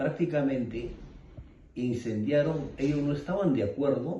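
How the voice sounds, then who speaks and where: A man's dark, mellow, somewhat breathy voice with lively intonation and audible room echo. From Peru, Ayacucho (Andes). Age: 60s. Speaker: eyewitness of armed conflict. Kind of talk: interview testimony. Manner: halting, many fillers.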